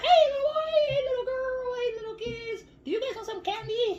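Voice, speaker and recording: A woman uses a squeaky, put-on character voice with a female-sounding voice at an extremely high pitch. She keeps a moderate pace. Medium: read story.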